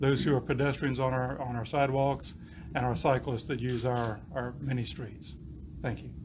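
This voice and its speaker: Fairly quick, somewhat breathy speech with fairly even intonation and audible room echo. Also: man. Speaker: police chief. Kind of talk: press conference speech. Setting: press conference.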